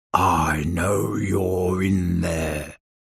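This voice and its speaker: A man growls and rumbles in a put-on character voice with a very deep, low pitch. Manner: gruff, calling out.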